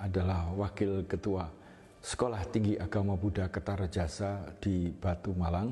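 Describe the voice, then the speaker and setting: Somewhat breathy, a man speaks fairly slowly in a fairly low voice with a dark, mellow tone and fairly even intonation. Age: 70s. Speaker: Buddhist monk. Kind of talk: interview testimony. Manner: halting.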